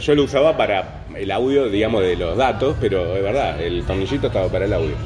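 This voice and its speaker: Speech rushes by at a very fast pace amid noticeable background noise and audible room echo. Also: man. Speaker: podcast host. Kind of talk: casual chat.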